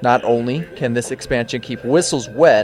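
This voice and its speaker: Lively intonation from a man, with noticeable background noise. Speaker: student news reporter. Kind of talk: TV news report voiceover.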